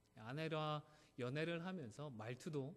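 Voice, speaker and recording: A man talks at a fairly high pitch. He has a slight Gyeongsang accent. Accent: slight Gyeongsang accent remaining. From South Korea, Gyeongsang (Busan area). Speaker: pastor. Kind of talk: sermon.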